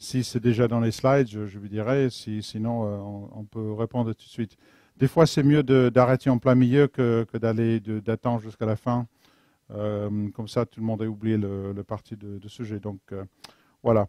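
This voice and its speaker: A man with an English accent, a medium pitch and a dark, mellow tone, at a moderate pace with fairly even intonation, big swings in loudness, and a dry, close sound with no echo. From London, England. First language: English (speaking French). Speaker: software engineer, conference speaker. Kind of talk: technical talk. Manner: halting, searching for French words.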